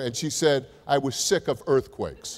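A man talks with a New Jersey accent. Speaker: university president; keynote speaker. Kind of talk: keynote speech. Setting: stage with audience. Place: hall. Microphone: podium.

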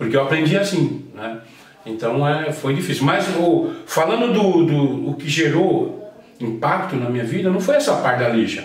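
This man talks at a moderate pace with lively intonation and a fairly high pitch, and audible room echo surrounds his voice. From Brazil, São Bernardo do Campo (São Paulo area); São Paulo, Brazil. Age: 50s. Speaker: house painter, professional association president; interview guest. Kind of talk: interview. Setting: at home. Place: home room.

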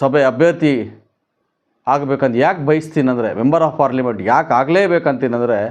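A man with a fairly high voice speaks at very even loudness and ordinary pitch variation against a quiet background. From Kolar district, Karnataka, India. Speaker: doctor and political aspirant. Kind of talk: campaign statement to press. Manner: halting.

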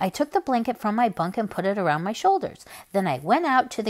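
This unforced reading voice has lively intonation.

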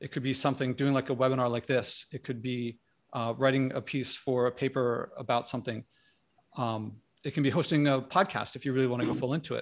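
A man speaks at a very fast pace, his medium-pitched voice held to a fairly even intonation. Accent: American. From Philadelphia area, US. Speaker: career coach and leadership teacher. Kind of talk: panel discussion. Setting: video call, firehouse noise behind.

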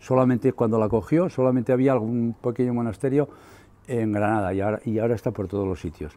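A man talks at a very fast pace in a dark, mellow tone. His pitch varies in an ordinary way. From Navarre, Spain (Larraga); Navarre, Spain. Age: 70s. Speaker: retired local historian and author. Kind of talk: book presentation talk. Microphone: lapel.

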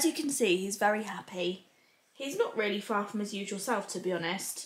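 A woman speaks at a fairly quick pace, with audible room echo around her voice. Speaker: mother vlogger. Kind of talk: casual vlog chat. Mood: calm, caring, slightly worried. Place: home room. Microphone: camera far.

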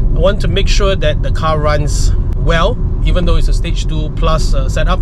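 Loud background noise fills the clip. The sound is dry, with no echo. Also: man. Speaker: car vlogger. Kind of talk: casual vlog chat. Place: car. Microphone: phone near.

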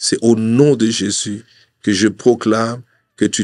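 A man speaks with a fairly low pitch and monotone, flat intonation. The background is quiet. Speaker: preacher. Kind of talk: sermon with prayer. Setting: studio. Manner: fervent, declamatory, earnest, pleading. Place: studio. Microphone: studio mic.

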